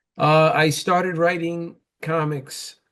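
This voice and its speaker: A man speaks with a New York accent. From New York, the Bronx. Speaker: comic book writer and publisher, former boxer. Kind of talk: interview. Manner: hesitant, many fillers.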